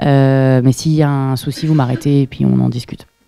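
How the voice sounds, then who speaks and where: This woman's voice is very deep and low in pitch, with ordinary pitch variation and a fairly quick pace. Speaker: PhD researcher, seminar speaker. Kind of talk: lecture. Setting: seminar room with audience. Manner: fast; hesitant, many fillers.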